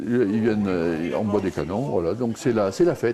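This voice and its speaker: Talking fairly fast, a man is accompanied by noticeable background noise. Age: 60s. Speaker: village festival organizer. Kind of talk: casual interview.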